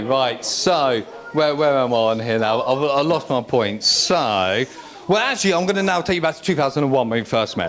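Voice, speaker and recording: With an English accent, a man speaks in a fairly high pitch with lively intonation over noticeable background noise. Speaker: best man. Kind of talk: wedding speech. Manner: fast; halting.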